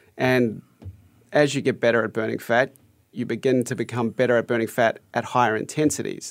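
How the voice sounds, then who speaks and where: With a New Zealand accent, a man speaks at a fairly quick pace and medium pitch, with fairly even intonation, on a very clean recording with a silent background. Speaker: fitness coach, former triathlete. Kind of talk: radio interview.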